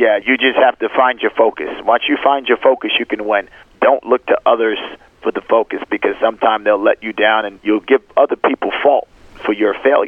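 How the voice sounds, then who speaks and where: A man speaks at a fairly quick pace while noticeable background noise continues behind him. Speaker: chef and restaurant owner. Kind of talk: casual interview.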